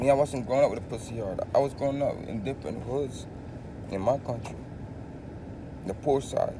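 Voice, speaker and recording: A man's medium-pitched voice with a Filipino accent, ordinary pitch variation, a fairly quick pace, long, frequent pauses and noticeable background noise. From Philippines. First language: Tagalog. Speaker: vlogger. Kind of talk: casual monologue. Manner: animated.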